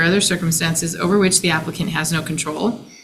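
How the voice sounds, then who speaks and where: This woman talks very fast with ordinary pitch variation, while noticeable background noise and audible room echo fill the recording. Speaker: hearing examiner. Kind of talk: public hearing. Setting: conference room. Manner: formal.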